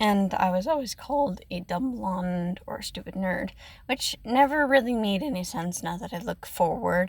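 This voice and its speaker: A woman speaks at a moderate pace with a medium pitch and lively intonation. Her voice is shaky and somewhat breathy. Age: 20s. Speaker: ASMR content creator. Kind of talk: personal storytelling. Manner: hesitant, many fillers.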